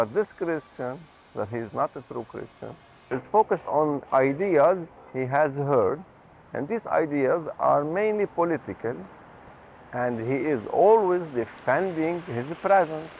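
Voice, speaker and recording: Over music in the background, a man speaks at a fairly slow pace with lively intonation and long, frequent pauses. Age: 30s. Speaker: interviewee. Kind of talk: testimony. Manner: halting.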